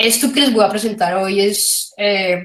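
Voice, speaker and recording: A woman speaks with fairly even intonation. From Colombia. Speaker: philosophy of economics researcher. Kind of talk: academic lecture. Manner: halting, many fillers.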